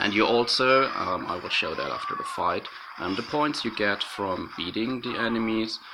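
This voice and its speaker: This man talks at a moderate pace. Background noise is noticeable. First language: not English. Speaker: gaming YouTuber. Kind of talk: gameplay commentary. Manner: hesitant, many fillers.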